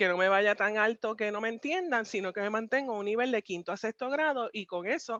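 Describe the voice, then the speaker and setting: Recorded dry and close with no echo over a quiet background, a woman with a fairly high voice speaks at a fairly quick pace with ordinary pitch variation. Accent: Puerto Rican. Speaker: pastor. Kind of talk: interview. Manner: fast; direct.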